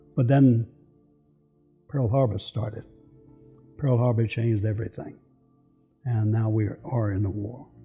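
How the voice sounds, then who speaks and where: Music plays in the background as a man with an American accent speaks, leaving long, frequent pauses. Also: medium pitch for a man, ordinary pitch variation, moderate pace. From Philadelphia, US. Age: 90s. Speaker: war veteran. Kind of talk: testimony.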